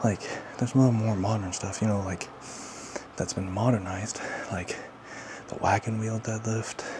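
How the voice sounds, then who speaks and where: The speaker keeps a moderate pace and a monotone, flat intonation, with long, frequent pauses, audible room echo and noticeable background noise. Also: man, fairly low pitch for a man. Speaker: fitness vlogger, strongman competitor. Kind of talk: casual workout vlog talk. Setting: home gym. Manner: quiet, trying not to wake child; casual, filler-heavy.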